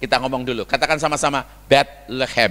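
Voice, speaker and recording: A man speaks loudly at a moderate pace, with an animated tone, a fairly high pitch, and a bright, sharp tone. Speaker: guest preacher. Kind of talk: sermon. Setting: church.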